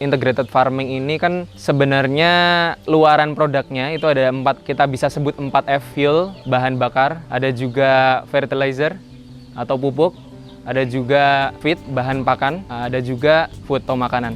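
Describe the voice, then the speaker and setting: Fairly even intonation from a man, noticeable background noise behind him. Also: medium pitch for a man, moderate pace. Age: 20s. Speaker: young farmer and entrepreneur. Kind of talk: interview.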